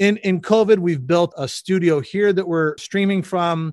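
In a dry, close sound with no echo, a man with a US Midwestern accent speaks with ordinary pitch variation. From Michigan, US Midwest. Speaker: audiovisual producer. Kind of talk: casual interview. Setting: video call.

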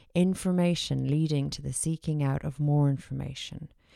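The speaker has an Irish accent, heard in a dry, close sound with no echo. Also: woman. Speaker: podcast host. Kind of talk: monologue.

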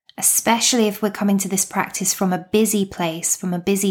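A woman's calm, soothing tone in a British accent, in a very clean recording with a silent background. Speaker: meditation coach and podcast host. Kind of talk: guided meditation. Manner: calm, slow, soothing; gentle, unhurried, with long pauses.

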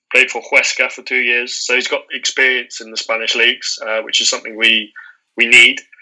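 A man talking at a moderate pace. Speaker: podcast co-host.

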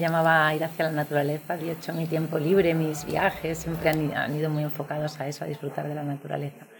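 A woman's fairly low voice at a very fast pace, set against noticeable background noise. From Valladolid, northern Spain. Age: 40s. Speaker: former lawyer turned guesthouse owner. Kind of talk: interview.

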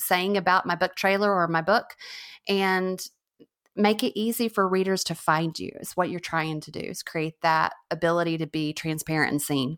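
Here is a plain, everyday voice at a moderate pace with ordinary pitch variation. The recording is very clean, with a silent background. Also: woman. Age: 40s. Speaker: novelist and book trailer creator. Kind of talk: interview. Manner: casual, many fillers and restarts.

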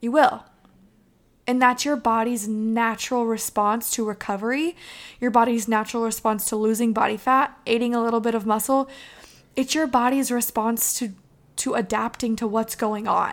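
A woman speaks in a warm, passionate tone at a moderate pace and fairly high pitch, with fairly even intonation. The recording is very clean, with a silent background. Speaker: podcast host. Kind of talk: pep talk. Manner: passionate, emphatic; warm, encouraging.

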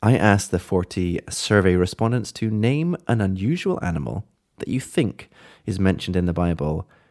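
This man talks at a moderate pace with lively intonation and a fairly low pitch. The sound is dry and close, with no echo. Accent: British. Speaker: podcast co-host. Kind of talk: casual chat. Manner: warm.

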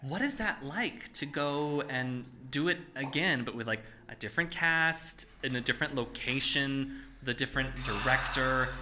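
With an animated, playful tone, a man speaks at a fairly high pitch with ordinary pitch variation. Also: moderate pace. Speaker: podcast host and theater producer. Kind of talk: casual interview chat.

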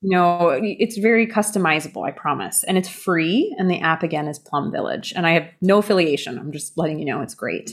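Barely pausing, a woman with a fairly low pitch talks at a fairly quick pace with ordinary pitch variation. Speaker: yoga teacher. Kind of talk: casual interview. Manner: animated.

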